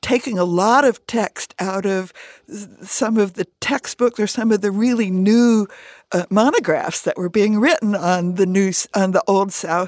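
A plain, everyday voice with an American accent, a fairly slow pace and ordinary pitch variation, in a dry, close sound with no echo. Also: woman. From US Midwest and upstate New York. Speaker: retired history professor. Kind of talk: radio interview. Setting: studio.

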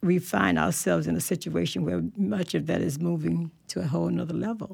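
The recording is very clean, with a silent background. A woman with an American accent speaks at a moderate pace. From Tallahassee, Florida. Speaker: community organization director. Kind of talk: radio panel discussion.

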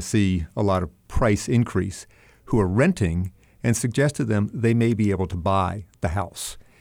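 A man with an American accent, an unremarkable speaking voice, a fairly low pitch and ordinary pitch variation, on a very clean recording with a silent background. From North Carolina (Charlotte). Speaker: city council candidate, former council member. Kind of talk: radio interview.

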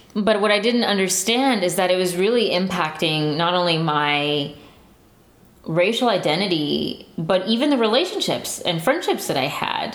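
This is a woman with an ordinary speaking voice at medium pitch. She speaks at a moderate pace with lively intonation. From San Antonio, Texas. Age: 20s. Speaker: listener storyteller. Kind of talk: personal storytelling.

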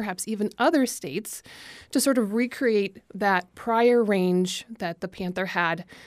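In a very clean recording with a silent background, a woman speaks in a normal speaking voice at medium pitch with ordinary pitch variation. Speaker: environmental policy manager. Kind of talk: radio interview.

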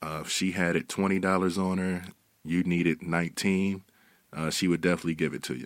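In a very deep, low pitch, a man speaks fairly quickly with fairly even intonation. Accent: American. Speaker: victim's family member. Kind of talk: radio interview.

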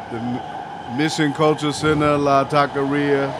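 The room echo is audible and the background noise is noticeable. Through it, a man speaks with an American accent. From Oakland, California. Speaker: train operator. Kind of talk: train announcements and casual narration. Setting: train operator cab. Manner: animated.

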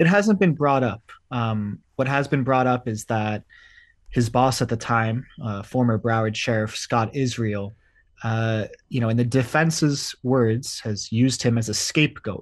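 A man speaks in a plain, everyday voice at medium pitch and a fairly slow pace. His pitch varies in an ordinary way, and the background is quiet. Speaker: court reporter. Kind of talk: radio interview.

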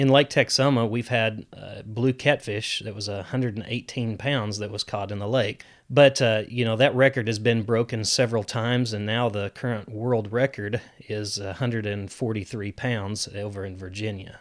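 In an unremarkable speaking voice with fairly even intonation, the speaker goes at a moderate pace with hardly any pauses and big swings in loudness, on a very clean recording with a silent background. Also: man, medium pitch for a man. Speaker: fisheries biologist. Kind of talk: interview.

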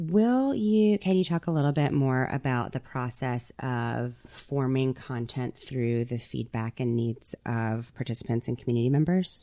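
In a Gulf Coast accent, a woman speaks with a very deep, low pitch and a dark, mellow tone. Her delivery is fairly slow, with hardly any pauses. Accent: Southern US, Gulf Coast. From US Gulf Coast Mississippi. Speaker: podcast host and curator. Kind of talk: casual interview chat. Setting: radio studio.

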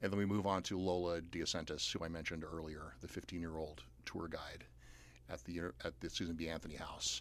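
A man with an American accent, vocal fry, and a very deep, low pitch speaks at a very fast pace with fairly even intonation. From US South, outside Atlanta. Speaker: playwright and professor. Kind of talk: interview. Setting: studio.

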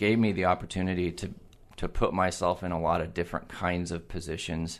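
With a West Coast accent, a man talks at a moderate pace in a very deep, low pitch with ordinary pitch variation. The background is quiet. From Oregon (Eugene). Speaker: utility general manager. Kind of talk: interview. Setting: studio.

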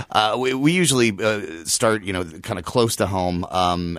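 Noticeable background noise sits behind a man with an American accent. He talks at a moderate pace with ordinary pitch variation. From Lawrence, Kansas. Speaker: online group administrator. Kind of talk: radio panel discussion. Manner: halting, many fillers and repetitions.

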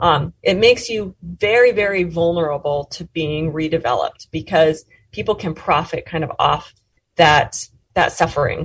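With an American accent, a woman speaks in a somewhat breathy voice with ordinary pitch variation. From Montana, US. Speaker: sociology professor and author. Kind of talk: interview.

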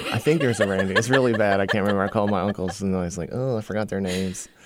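Ordinary pitch variation from a man in an American accent. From Virginia, US. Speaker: stand-up comedian. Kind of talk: casual chat.

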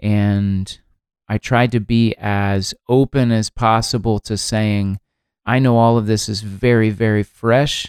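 Recorded very cleanly against a silent background, a man of medium pitch uses an ordinary speaking voice with fairly even intonation and a dry, close sound with no echo. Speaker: podcast host and songwriter. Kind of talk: podcast hosting, interview narration.

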